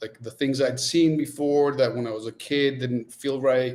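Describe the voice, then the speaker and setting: At a moderate pace, a man speaks with a Spanish accent at medium pitch and with ordinary pitch variation. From Nicaragua, then US. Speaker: coffee company founder. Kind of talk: podcast interview.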